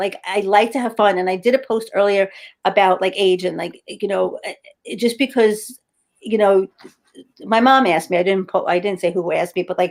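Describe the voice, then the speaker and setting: A woman speaks at a medium pitch. Her pace is fairly quick. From New York City, Brooklyn. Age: 50s. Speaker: health and wellness entrepreneur. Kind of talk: casual interview chat. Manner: animated.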